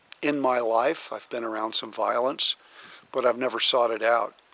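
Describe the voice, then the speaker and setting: A man talks at a moderate pace and a medium pitch. His intonation stays monotone and flat. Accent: American. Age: 70s. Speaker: outdoors and firearms channel host, Marine veteran. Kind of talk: vlog monologue. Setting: outdoors.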